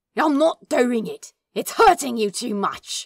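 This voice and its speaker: A put-on character voice growls at a high pitch. It moves at a fairly slow pace. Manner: angry; growling.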